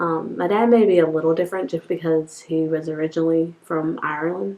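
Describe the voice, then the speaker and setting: Here is a woman with a North Carolina accent. Her pitch sits fairly low. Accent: Southern US, North Carolina. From North Carolina, Bowie's Creek. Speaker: interviewee. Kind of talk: interview answers.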